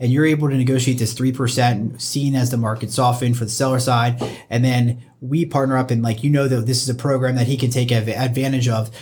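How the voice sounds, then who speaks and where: A somewhat breathy, medium-pitched male voice, fairly quick and monotone, with hardly any pauses and audible room echo. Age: 30s. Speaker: mortgage loan officer. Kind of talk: casual chat.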